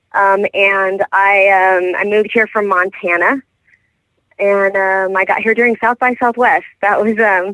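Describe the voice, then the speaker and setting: Speaking slowly-ish at a fairly slow pace, a woman with an American accent holds a medium pitch, her intonation monotone and flat and her loudness very even. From Texas (Houston). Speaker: country singer-songwriter. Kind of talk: radio interview. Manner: halting, many fillers.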